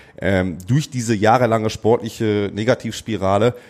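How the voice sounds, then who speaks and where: A man's unremarkable speaking voice, medium in pitch, with ordinary pitch variation. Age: 30s. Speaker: amateur footballer. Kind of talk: casual chat.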